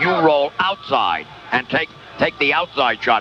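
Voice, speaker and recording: A man with a fairly high voice and normal pitch movement talks through noticeable background noise. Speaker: radio play-by-play announcer. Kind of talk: postgame radio interview.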